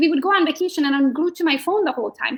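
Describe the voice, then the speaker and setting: A very fast, animated delivery with lively intonation in a Hungarian accent. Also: woman. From Hungary. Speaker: real estate agent. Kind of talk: interview. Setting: live video stream.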